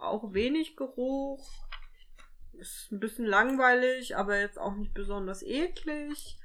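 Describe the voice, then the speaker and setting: This is a woman's voice. It has a fairly high pitch and a bright, sharp tone. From Thuringia, Germany. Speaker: podcast co-host. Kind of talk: casual chat.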